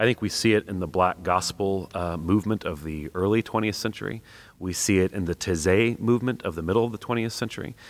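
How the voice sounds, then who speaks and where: A man's very fast, fairly low-pitched speech in an American accent, with ordinary pitch variation, on a very clean recording with a silent background. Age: 30s. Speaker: church music director and worship songwriter. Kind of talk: interview.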